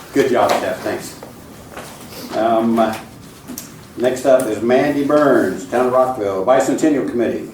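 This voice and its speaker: The speaker, with an American accent, talks at a very slow pace with ordinary pitch variation amid audible room echo and noticeable background noise. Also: man, medium pitch for a man. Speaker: county commissioner. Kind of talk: public meeting. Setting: county commissioners meeting room.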